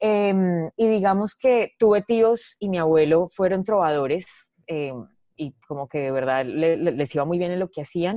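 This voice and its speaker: In a dry, close sound with no echo, a woman speaks fairly slowly in a fairly low pitch with a dark, mellow tone. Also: lively intonation. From Colombia, Medellín. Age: 30s. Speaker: comedian. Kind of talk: casual chat.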